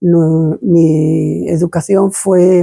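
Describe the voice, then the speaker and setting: Her voice is fairly low for a woman, with a dark, mellow tone and ordinary pitch variation. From Spain, mostly Madrid. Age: 80s+. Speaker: interviewee recounting childhood memories. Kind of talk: oral history testimony. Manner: halting, many hesitations and repetitions.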